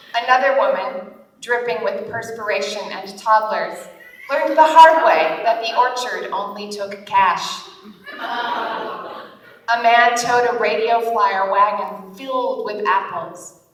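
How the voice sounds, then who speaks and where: Noticeable background noise under very slow speech with ordinary pitch variation. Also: woman, fairly high pitch for a woman. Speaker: author. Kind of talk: humor blog reading to live audience. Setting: conference stage.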